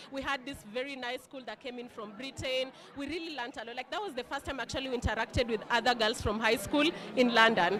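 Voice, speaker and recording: Over music in the background, a woman talks at a very fast pace in a high voice, with ordinary pitch variation and big swings in loudness. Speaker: alumna, working professional. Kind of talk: casual interview. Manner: loud, bold.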